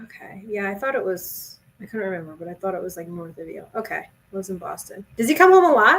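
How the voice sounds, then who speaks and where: Talking at a very fast pace, a woman with a medium pitch uses a Jersey Shore accent. Her loudness swings widely. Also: ordinary pitch variation. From Jersey Shore, New Jersey. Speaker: sports podcast co-host. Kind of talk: casual chat. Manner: animated.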